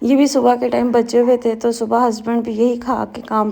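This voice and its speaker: Fairly high in pitch, a woman speaks at a moderate pace with a dark, mellow tone and monotone, flat intonation. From Pakistan. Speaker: housewife vlogger. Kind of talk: vlog voice-over narration. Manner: casual, conversational.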